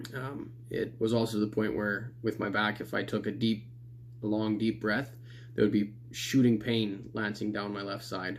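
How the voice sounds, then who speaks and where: Fairly low in pitch, a man talks at a moderate pace with fairly even intonation and vocal fry. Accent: Canadian. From Canada. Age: 20s. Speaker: client giving a testimonial. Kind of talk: testimony. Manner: casual with many fillers.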